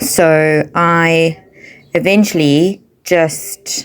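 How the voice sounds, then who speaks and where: A quiet woman's voice, very deep and low in pitch, with ordinary pitch variation. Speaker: craft journaling vlogger. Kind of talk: casual craft tutorial. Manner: quiet, low-key.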